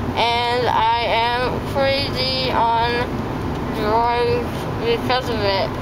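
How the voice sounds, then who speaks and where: A woman speaks very slowly against loud background noise. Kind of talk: casual vlog chat. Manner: slurred, medicated, swollen-mouth speech. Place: car. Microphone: phone near.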